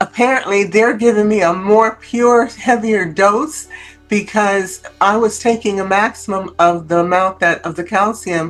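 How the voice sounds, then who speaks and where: With music in the background, a woman speaks at a moderate pace and with ordinary pitch variation. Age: 70s. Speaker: product testimonial user. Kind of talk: testimony. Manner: halting, many fillers.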